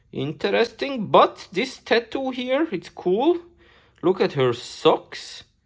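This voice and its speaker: A woman speaks very slowly with vocal fry and a non-native accent. Her fairly high pitch swings very widely. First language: not English. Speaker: toy collector / unboxing youtuber. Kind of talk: casual unboxing video. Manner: animated.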